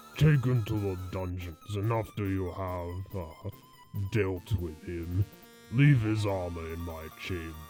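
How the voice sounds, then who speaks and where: Over clear background music, a man puts on a character voice with a very deep, low pitch at a moderate pace. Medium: audio drama. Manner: smug, condescending.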